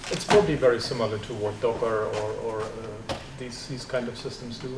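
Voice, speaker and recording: A man speaks at a fairly quick pace with a German accent. The room echo is audible and the background noise is noticeable. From East Germany. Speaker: computer science professor. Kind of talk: seminar talk with Q&A. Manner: halting, repeats words.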